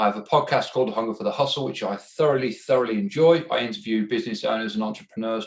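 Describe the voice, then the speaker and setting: A man speaks with an English accent at a very fast pace. His pitch sits in the medium range. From England. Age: 30s. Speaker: entrepreneur and podcast host. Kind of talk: self-introduction.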